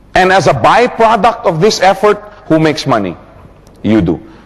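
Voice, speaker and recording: Amid noticeable background noise, a man with a high pitch talks in an animated tone at a moderate pace. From Philippines. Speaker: motivational business speaker. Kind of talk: seminar talk.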